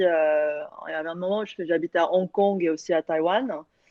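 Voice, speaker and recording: A woman with a Korean accent talks at a moderate pace in a fairly low pitch with fairly even intonation. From France, Lyon. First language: Korean (speaking French). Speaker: panelist, solo traveller. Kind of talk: casual online panel chat. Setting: online video event.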